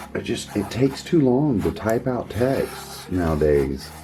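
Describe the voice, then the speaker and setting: A man in an Oklahoma accent, lively in his intonation, with music in the background. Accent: Oklahoma drawl. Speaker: gold panning hobbyist channel host. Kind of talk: casual chat.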